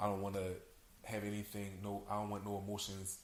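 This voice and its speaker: Audible room echo surrounds a man talking at a fairly quick pace, fairly low in pitch and monotone, with flat intonation. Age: 20s. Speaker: podcast guest. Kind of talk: casual chat.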